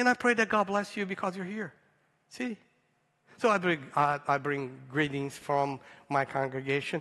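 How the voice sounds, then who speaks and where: In a raised, projected voice, a man with a Brazilian accent speaks at a moderate pace. His tone is bright and sharp, and his pitch swings very widely. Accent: Brazilian Portuguese accent, noticeable. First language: Portuguese. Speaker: pastor. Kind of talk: sermon. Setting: church service, livestreamed. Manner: halting.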